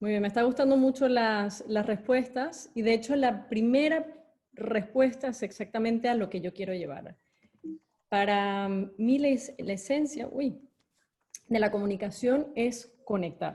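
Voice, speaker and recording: A woman's fairly high, somewhat breathy voice with a dark, mellow tone, ordinary pitch variation, a fairly slow pace and long, frequent pauses. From Venezuela. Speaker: corporate education executive and speaker. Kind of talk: online talk with audience chat. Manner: hesitant with fillers.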